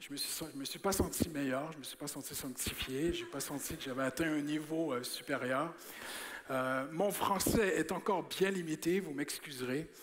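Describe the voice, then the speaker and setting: Audible room echo surrounds a man speaking at a moderate pace, his fairly high pitch showing ordinary variation. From Quebec. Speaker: preacher. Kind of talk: sermon. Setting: church. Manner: animated.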